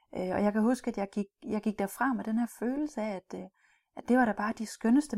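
Somewhat breathy and dark, mellow in tone, a woman's fairly high voice comes through a very clean, dry, close recording with no echo and a silent background. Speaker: cultural trainer for business in Russia. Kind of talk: recorded training module. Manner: hesitant, many fillers and repeats.

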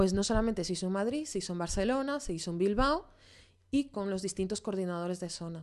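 Against a quiet background, the speech runs at a very fast pace with lively intonation. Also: woman, medium pitch for a woman. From Venezuela, moved to Spain at 13. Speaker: graphic designer in advertising. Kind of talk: casual chat.

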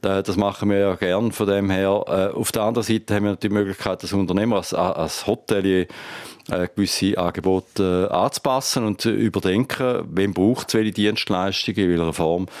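His pitch is fairly low and his intonation fairly even. The man keeps a moderate pace. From Thurgau, Switzerland (Lake Constance). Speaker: hotelier and industry association president. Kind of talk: interview.

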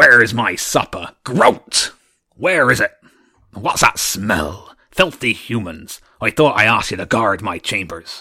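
In a put-on character voice, a man booms out loud and raspy at a medium pitch. His pitch swings very widely as he goes at a fairly slow pace. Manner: demanding, booming.

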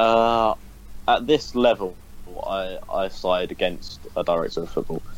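Fairly slow speech from a man, backed by music. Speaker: football podcast co-host, match commentator. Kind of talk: casual football podcast chat.

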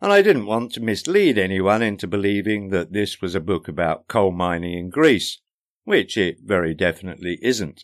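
A man with a normal speaking voice talks at a moderate pace and a fairly low pitch, with ordinary pitch variation. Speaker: podcaster and author. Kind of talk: casual chatty podcast intro, then audiobook narration of the book's preface. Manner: wry, dry humour, conversational; measured, warm, self-deprecating narration.

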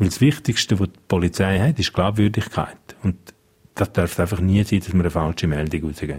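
Very deep and low, a man's voice comes at a fairly quick pace and is somewhat breathy. His loudness swings widely while his pitch varies in an ordinary way. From Switzerland, Engadin (Graubünden). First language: Romansh (speaking German). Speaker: police spokesperson. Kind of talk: radio interview.

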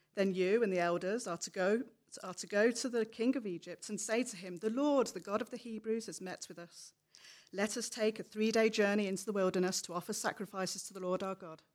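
With a plain, everyday voice, a woman speaks at a medium pitch with fairly even intonation and big swings in loudness. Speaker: scripture reader. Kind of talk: reading aloud. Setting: church.

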